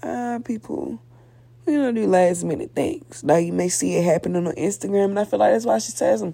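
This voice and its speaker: This woman has a dark, mellow tone with vocal fry. She speaks at a fairly quick pace, her pitch swinging very widely. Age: 20s. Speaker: podcast host. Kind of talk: casual solo podcast monologue. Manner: conversational, informal.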